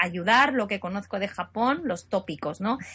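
A woman at a moderate pace, medium in pitch, with a plain, everyday voice. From Asturias, Spain. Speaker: translator and interpreter. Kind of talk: casual interview.

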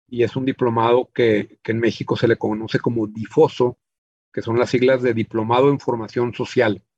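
At a moderate pace, a man with a medium pitch speaks in a flat monotone, the sound dry and close with no echo. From Chihuahua, northern Mexico. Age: 50s. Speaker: business owner. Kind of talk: interview. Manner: halting, frequent repetitions.

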